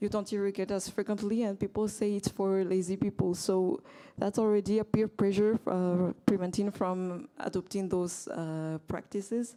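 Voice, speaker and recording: A woman speaks with a French accent, at medium pitch, in a dark, mellow tone. Her intonation is fairly even, her pace moderate, with hardly any pauses. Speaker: agricultural economist, workshop participant. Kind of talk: panel discussion contribution. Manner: hesitant, many fillers.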